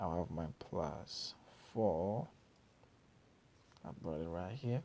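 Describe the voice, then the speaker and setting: A man with a non-native accent talks at a very slow pace. His voice is very deep and low with a dark, mellow tone and lively intonation. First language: not English. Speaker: math tutor. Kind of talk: tutorial. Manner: casual.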